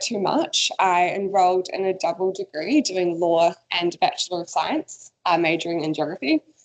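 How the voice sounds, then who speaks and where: A woman with a New Zealand accent speaks at a medium pitch and a moderate pace. Her intonation is lively, with hardly any pauses. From New Zealand, Waikato (Morrinsville). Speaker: coastal researcher. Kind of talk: career talk presentation.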